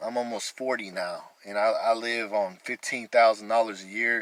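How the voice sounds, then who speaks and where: Fairly quick and fairly low-pitched, a man talks with an American accent. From Texas, Amarillo. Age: 30s. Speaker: vlogger. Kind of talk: testimony.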